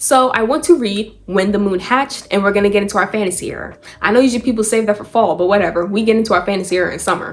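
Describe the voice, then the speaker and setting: A woman talks at a very fast pace in an animated tone, her pitch varying in an ordinary way, with hardly any pauses and noticeable background noise. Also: medium pitch for a woman. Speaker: book reviewer. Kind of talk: casual vlog.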